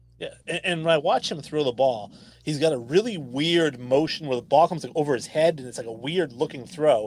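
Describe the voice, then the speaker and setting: An unremarkable speaking voice from a man, fairly high in pitch, with ordinary pitch variation and big swings in loudness. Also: fairly quick pace. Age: late 30s. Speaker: sports podcast host. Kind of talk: casual chat. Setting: live stream.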